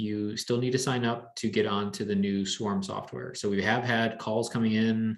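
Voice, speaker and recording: An ordinary speaking voice belongs to a man of medium pitch. He goes at a fairly slow pace with fairly even intonation. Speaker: beekeeping club organizer. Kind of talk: club meeting announcements.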